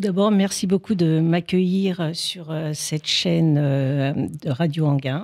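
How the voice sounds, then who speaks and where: Ordinary pitch variation marks this delivery at a very slow pace. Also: woman, fairly low pitch for a woman. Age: 60s. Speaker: couples therapist and life coach. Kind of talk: interview. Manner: halting, many hesitations.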